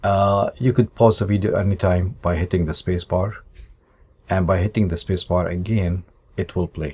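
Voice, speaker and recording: Very deep and low, a man's voice has a dark, mellow tone and a somewhat breathy quality, with fairly even intonation. He speaks at a fairly slow pace in a very clean recording with a silent background. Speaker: math teacher. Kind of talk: tutorial.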